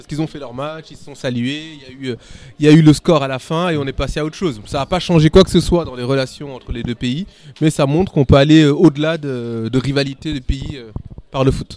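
His is a plain, everyday voice, a man's with fairly high pitch. The intonation stays fairly even while the loudness swings widely. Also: fairly quick pace. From born in Senegal, raised in France. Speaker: podcast panelist, finance worker. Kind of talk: casual chat.

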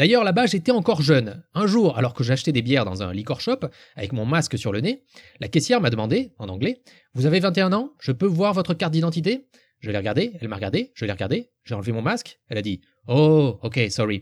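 In a very clean recording with a silent background, a man with a fairly high, somewhat breathy voice talks at a fairly quick pace, his pitch swinging very widely. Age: 40s. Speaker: podcaster. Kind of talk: scripted monologue.

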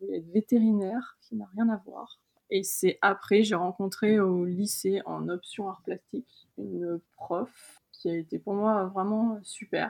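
The woman's tone is dark and mellow. She talks at a fairly slow pace. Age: 30s. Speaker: illustrator. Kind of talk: interview. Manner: hesitant, many fillers.

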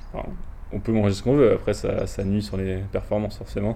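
A man at a moderate pace, with audible room echo. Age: 20s. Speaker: student rower. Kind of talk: interview. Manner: halting.

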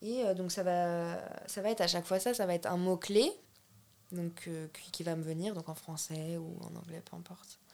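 This woman's voice sits at a medium pitch. Its pitch varies in an ordinary way. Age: 20s. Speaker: painter and art student. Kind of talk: casual interview chat. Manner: casual and hesitant, many fillers.

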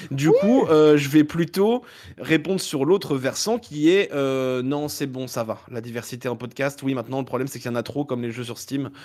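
Using an ordinary speaking voice, a man keeps a moderate pace, with fairly high pitch and ordinary pitch variation. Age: 30s. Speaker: podcaster. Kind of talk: casual chat.

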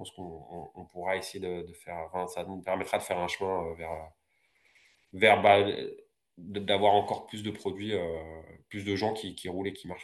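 A man's very deep, low voice, flat and monotone, at a moderate pace with long, frequent pauses, big swings in loudness, and a quiet background. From France, Paris region (Val-d'Oise). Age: 40s. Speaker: roller skater and entrepreneur. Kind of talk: interview.

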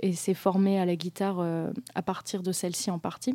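A woman with a dark, mellow tone speaks at a fairly slow pace on a very clean recording with a silent background. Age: 20s. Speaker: history student and musician. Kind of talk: radio interview. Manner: halting.

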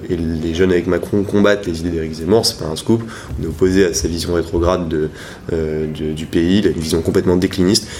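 Noticeable background noise is present. A man speaks at a very deep, low pitch with fairly even intonation. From Brittany, France. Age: 20s. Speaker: youth political organizer. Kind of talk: interview. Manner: hesitant, many fillers.

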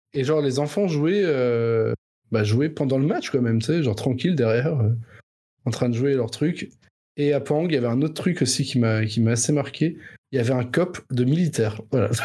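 A man speaks at a moderate pace in a medium pitch with a dark, mellow tone, ordinary pitch variation and very even loudness. The recording is very clean, and the background is silent. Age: 30s. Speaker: podcast co-host. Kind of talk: casual chat.

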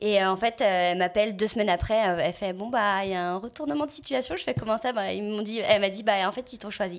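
Over a silent background in a very clean recording, a woman talks at a fairly quick pace in a medium pitch with ordinary variation and big swings in loudness. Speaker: voice actress and singer. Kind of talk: casual chat.

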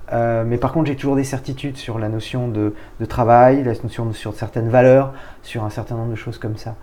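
A man of medium pitch speaks at a fairly quick pace. His intonation stays monotone and flat. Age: 40s. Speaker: business executive. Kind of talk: interview.

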